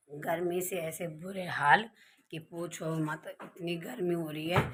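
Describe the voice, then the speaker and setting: Speaking at a very slow pace, a woman with a fairly low pitch keeps a fairly even intonation while her loudness swings widely. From Uttarakhand, India. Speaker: vlogger. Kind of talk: casual vlog talk to camera.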